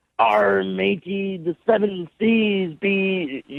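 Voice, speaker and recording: A gruff, high-pitched put-on character voice from a man, delivered at a very slow pace. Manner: rolling, gruff.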